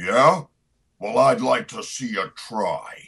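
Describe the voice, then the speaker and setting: Raspy and very slow, the speech comes in a put-on character voice. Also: man. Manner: rough, defiant.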